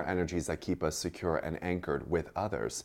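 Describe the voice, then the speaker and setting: A man with vocal fry and a very deep, low pitch talks at a fairly quick pace on a very clean recording with a silent background. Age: 30s. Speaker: astrologer and author. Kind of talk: casual chat.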